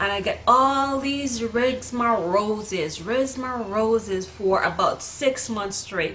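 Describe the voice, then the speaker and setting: A woman's fairly high-pitched voice with ordinary pitch variation, noticeable background noise and audible room echo. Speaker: vlogger. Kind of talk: storytelling monologue. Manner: casual, with filler words.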